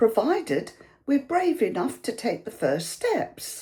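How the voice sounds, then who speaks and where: A woman with a British accent speaks slowly-ish in a dark, mellow, warm tone with very wide pitch swings on a very clean recording with a silent background. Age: 70s. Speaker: YouTuber. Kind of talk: casual talk to camera. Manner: warm conversational.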